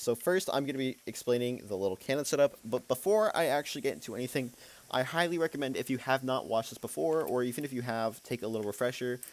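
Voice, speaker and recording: A man at a very fast pace, medium pitch and lively intonation. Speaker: gaming tutorial creator. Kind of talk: tutorial. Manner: stutters sometimes; halting, filler-heavy.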